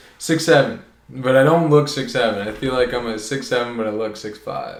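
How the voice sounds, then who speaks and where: A man's fairly quick delivery with ordinary pitch variation and audible room echo. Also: medium pitch for a man. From Ontario, Canada (Oakville). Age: 20s. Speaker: podcast guest. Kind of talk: casual chat. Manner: loud.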